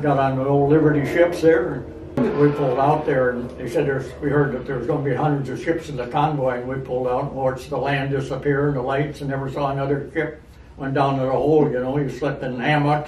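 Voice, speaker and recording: A man's fairly high voice at a very fast pace, in a monotone, flat intonation, with noticeable background noise. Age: 80s+. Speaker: war veteran. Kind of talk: interview answer.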